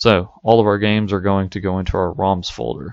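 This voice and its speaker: A man delivers his words at a moderate pace with fairly even intonation. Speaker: tech tutorial youtuber. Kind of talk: tutorial. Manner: monotone; hesitant, many fillers.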